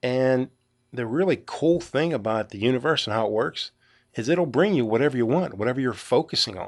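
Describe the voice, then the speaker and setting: A man speaks with a Western Pennsylvania accent at a fairly quick pace. His intonation is lively, and the background is quiet. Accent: Western Pennsylvania American. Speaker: podcast host. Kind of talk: solo monologue. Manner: casual, halting with fillers.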